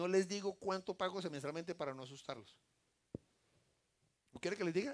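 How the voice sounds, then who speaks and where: In an animated tone, a high-pitched man speaks at a moderate pace with lively intonation. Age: 60s. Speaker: lay preacher. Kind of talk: sermon.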